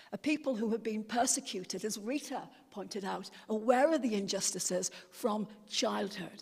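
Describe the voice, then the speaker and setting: A woman talks in a fairly high, somewhat breathy voice. Her pitch varies in an ordinary way. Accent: English. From England. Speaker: speaker on a delegation to Palestine. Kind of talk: talk at a church meeting. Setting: church hall meeting with audience. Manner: hesitant, many fillers and repeats.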